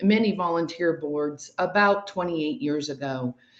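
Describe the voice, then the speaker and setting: Speaking with an American accent, a woman uses a normal speaking voice at a fairly low pitch with ordinary pitch variation. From Ohio. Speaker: mayoral candidate. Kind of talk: candidate interview.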